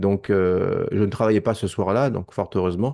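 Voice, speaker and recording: A man's fairly low, dark, mellow voice with a Parisian accent, at a moderate pace over a quiet background. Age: 50s. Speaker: documentary maker and witness; witness. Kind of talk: testimony. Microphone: video call.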